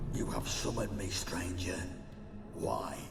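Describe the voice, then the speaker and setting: Amid loud background noise and a clear echo, a man performs a put-on character voice. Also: moderate pace. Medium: machinima. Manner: stately, formal, archaic.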